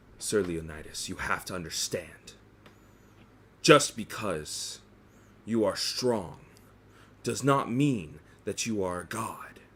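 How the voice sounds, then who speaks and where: Putting on a character voice, a man speaks fairly low and fairly slowly, with lively intonation and long, frequent pauses. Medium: actual play. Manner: respectful, earnest.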